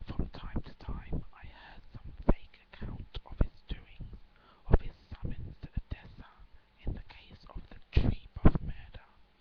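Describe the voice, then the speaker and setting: Whispering at a fairly slow pace, a woman lets her loudness swing widely. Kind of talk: whispered story reading, relaxation. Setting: webcam recording at home. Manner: whispered, soft.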